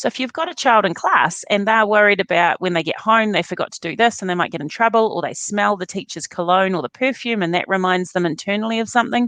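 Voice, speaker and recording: Speaking with a New Zealand accent, a woman uses a medium pitch and ordinary pitch variation in a dry, close recording with no echo and a quiet background. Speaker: neuroscience educator. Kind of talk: interview.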